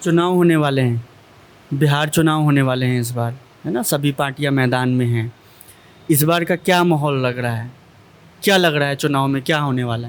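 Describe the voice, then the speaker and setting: A man's plain, everyday voice at a fairly high pitch, with ordinary pitch variation and a moderate pace. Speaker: interviewer. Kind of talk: interview questions.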